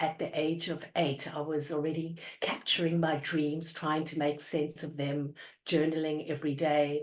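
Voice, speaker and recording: A woman speaks with an Australian accent. Her pitch is very deep and low, and her intonation is monotone and flat. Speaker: organizational psychologist. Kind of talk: interview. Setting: video call.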